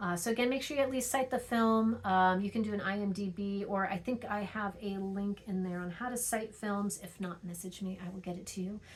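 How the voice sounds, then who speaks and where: Fairly quick, somewhat breathy speech with hardly any pauses, fairly even intonation and audible room echo. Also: woman, medium pitch for a woman. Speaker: teacher. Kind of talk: recorded lecture. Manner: fast; hesitant with frequent fillers.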